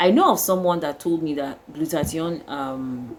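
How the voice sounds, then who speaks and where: A woman with a Nigerian accent speaks at a fairly slow pace in a very deep, low voice. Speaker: skincare vlogger. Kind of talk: casual vlog talk. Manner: halting, with fillers.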